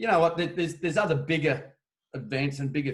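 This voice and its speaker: Somewhat breathy and very fast, a man talks in an Australian accent with fairly even intonation. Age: 60s. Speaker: veteran longboard surfer. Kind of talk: casual chat. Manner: halting, many fillers.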